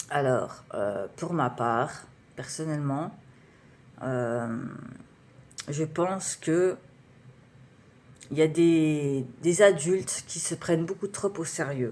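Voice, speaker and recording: Very slow woman's voice, very deep and low in pitch, with ordinary pitch variation and long, frequent pauses. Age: 30s. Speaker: writer and beatmaker, vlogger. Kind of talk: personal vlog monologue. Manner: halting, many fillers.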